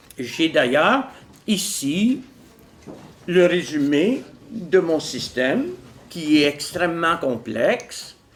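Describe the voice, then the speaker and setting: A man talks at a very slow pace in a high voice, his pitch swinging very widely. Audible room echo surrounds the recording. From Quebec, Montreal. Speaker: philosopher and author. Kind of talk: lecture. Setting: stage with audience. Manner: calm.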